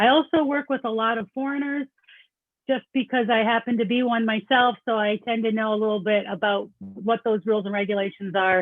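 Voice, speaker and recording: A woman with a slight Canadian accent, fairly high pitch and ordinary pitch variation, at a fairly quick pace. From Canada. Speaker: accountant. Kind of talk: presentation. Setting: video call.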